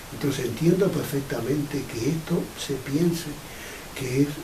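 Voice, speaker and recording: Lively intonation from a man at fairly high pitch, with noticeable background noise and audible room echo. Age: 80s+. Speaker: pioneer of a UFO contact group. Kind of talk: interview.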